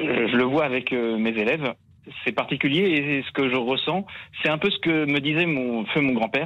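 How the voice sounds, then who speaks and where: A man's normal speaking voice, fairly high in pitch, at a moderate pace with ordinary pitch variation. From Vendée, western France. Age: 20s. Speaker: caller, teacher. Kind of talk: phone-in discussion.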